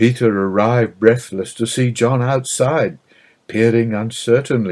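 The text comes across as plain reading aloud, with fairly even intonation.

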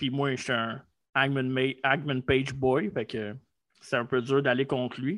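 The speaker talks at a fairly slow pace with a Quebec accent. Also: man. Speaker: wrestling podcast co-host. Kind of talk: casual chat.

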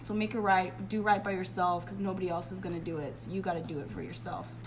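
A woman talks at a medium pitch against noticeable background noise. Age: 20s. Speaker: podcast guest. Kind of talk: casual chat.

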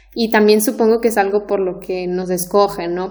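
A woman's medium-pitched voice with ordinary pitch variation, a moderate pace, and noticeable background noise. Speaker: Spanish teacher. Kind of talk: casual chat. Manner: clear.

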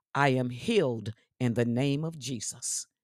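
The recording is very clean with a silent background, and the sound is dry and close with no echo. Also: woman. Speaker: church elder and podcast host. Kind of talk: devotional scripture reading and fervent prayer. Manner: fervent, impassioned, declarative, pleading.

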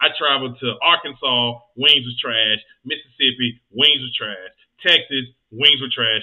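This man speaks at a fairly slow pace, with ordinary pitch variation. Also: medium pitch for a man, big swings in loudness. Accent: Southern US. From US South, Georgia. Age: 30s. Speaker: podcast host. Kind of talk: casual chat. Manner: animated.

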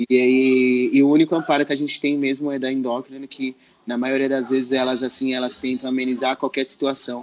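A man's medium-pitched voice, fairly quick, with monotone, flat intonation. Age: 30s. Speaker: social educator. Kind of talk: interview. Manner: halting.

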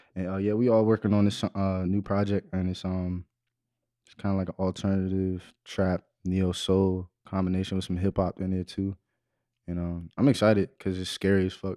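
A man speaks at a moderate pace in a very deep, low voice with a dark, mellow tone and flat, monotone intonation. His loudness swings widely, and the sound is dry and close with no echo over a quiet background. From Waldorf, Maryland (DC area). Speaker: rapper and singer. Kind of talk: casual chat.

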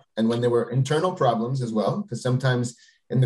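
A man's dark, mellow, somewhat breathy voice at medium pitch, delivered at a very fast pace. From Quebec, Canada. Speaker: venture capitalist. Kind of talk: interview.

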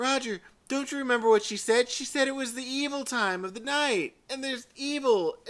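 A squeaky, high-pitched put-on character voice at a moderate pace

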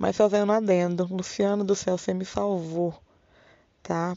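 A plain, everyday voice speaks at a fairly slow pace with fairly even intonation. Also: woman. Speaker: podcast host. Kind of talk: casual monologue. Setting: home bedroom.

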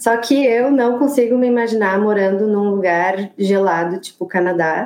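A woman talks in a plain, everyday voice. Her pitch sits fairly high, with ordinary variation. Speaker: architect living abroad. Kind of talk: casual interview.

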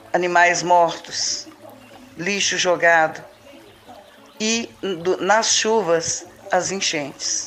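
Very slow and broken by long, frequent pauses, a woman's fairly low-pitched voice keeps a fairly even intonation over music in the background. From Belo Horizonte, Brazil. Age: 60s. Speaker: local resident and community activist. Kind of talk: testimony. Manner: halting, many fillers.

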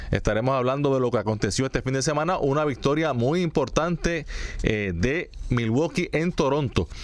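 A man with a fairly high pitch speaks at a moderate pace with lively intonation and very even loudness over noticeable background noise. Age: 40s. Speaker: sports radio host. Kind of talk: sports talk radio.

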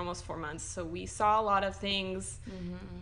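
A woman talks at a fairly quick pace, and audible room echo can be heard around her. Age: 20s. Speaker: mother sharing stillbirth story. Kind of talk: personal testimony in casual interview. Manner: hesitant, filler-heavy.

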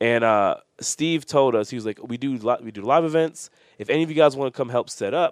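With an American accent, a man has an ordinary speaking voice, ordinary pitch variation and a fairly quick pace. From New York. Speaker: professional wrestler. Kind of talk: casual chat.

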